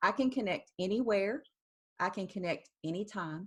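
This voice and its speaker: An American accent shapes this woman's fairly slow speech at a medium pitch, with ordinary pitch variation. The recording is very clean, with a silent background. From US South. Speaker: founder of a spiritual art practice. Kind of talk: interview.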